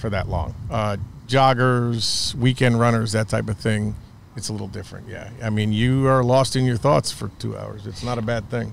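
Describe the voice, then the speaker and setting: This man has a New York accent. He talks at a moderate speed. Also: medium pitch for a man, fairly even intonation. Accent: American (New York). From upstate New York. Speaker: baseball coach and club founder. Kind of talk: podcast interview.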